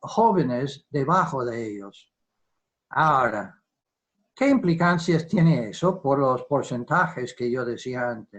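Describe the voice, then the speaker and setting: Speaking very slowly, a man with a fairly high, somewhat breathy voice uses lively intonation. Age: 70s. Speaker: defence economist. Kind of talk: virtual lecture. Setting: video call. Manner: halting.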